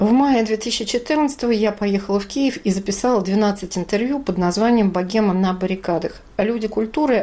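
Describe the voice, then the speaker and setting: At a moderate pace with ordinary pitch variation, this is a plain, everyday voice. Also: woman. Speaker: journalist and poet. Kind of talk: scripted narration.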